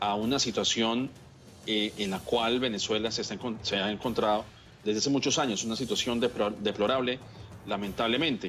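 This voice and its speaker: With music in the background, a man speaks at a moderate pace and medium pitch with fairly even intonation. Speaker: political analyst. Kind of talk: TV news interview answer, formal commentary. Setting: TV news program.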